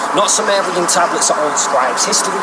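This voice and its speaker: With noticeable background noise around him, a man speaks at a fairly quick pace. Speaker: battle rapper. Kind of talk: spoken word poetry, a cappella. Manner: rhythmic, rhyming delivery.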